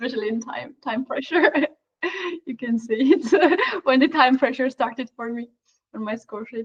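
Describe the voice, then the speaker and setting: In a Georgian accent, a woman with a high pitch speaks at a moderate pace with ordinary pitch variation. Her loudness swings widely, and the sound is dry and close with no echo. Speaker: chess commentator. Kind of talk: live commentary. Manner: halting.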